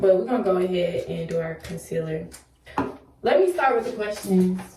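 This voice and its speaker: A woman at a medium pitch and moderate pace, with ordinary pitch variation, audible room echo and noticeable background noise. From US South, Memphis, Tennessee. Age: 20s. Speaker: beauty vlogger, student. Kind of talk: casual makeup tutorial and Q&A. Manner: casual, chatty.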